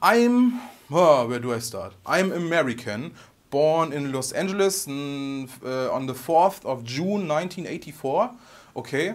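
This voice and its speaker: This man speaks with a strong German accent and a fairly high pitch. His intonation is lively. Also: fairly slow pace. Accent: heavy German. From Germany. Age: 30s. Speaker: guitar YouTuber. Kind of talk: vlog Q&A monologue. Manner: halting.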